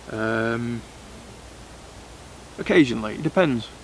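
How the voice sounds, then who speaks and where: A man at a medium pitch speaks with noticeable background noise behind him. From South Yorkshire, England (Sheffield, northeast Derbyshire). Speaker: bushcraft and survival YouTuber. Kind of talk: casual Q&A monologue. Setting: outdoors. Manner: hesitant, many fillers.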